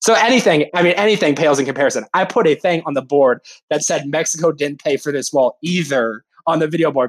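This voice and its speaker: Dry and close with no echo, a man's plain, everyday voice runs at a fairly quick pace, fairly high in pitch with ordinary pitch variation. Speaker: sports fan engagement staffer. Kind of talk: casual chat.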